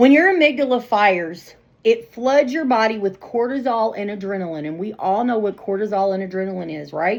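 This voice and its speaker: A woman's fairly high voice at a fairly quick pace, with lively intonation, big swings in loudness and hardly any pauses. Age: 40s. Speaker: nursing exam prep coach. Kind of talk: live-streamed tutoring session.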